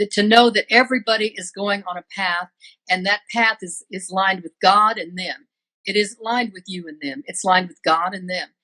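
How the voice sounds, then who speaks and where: A woman's bright, sharp, medium-pitched voice at a moderate pace, fairly even in intonation, with big swings in loudness and a dry, close sound free of echo. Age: 70s. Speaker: psychic medium. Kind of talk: casual chat. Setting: live video stream.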